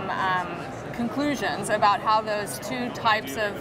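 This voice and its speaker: A woman talks at a moderate pace with music playing in the background. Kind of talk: interview answer. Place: hall. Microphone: lapel.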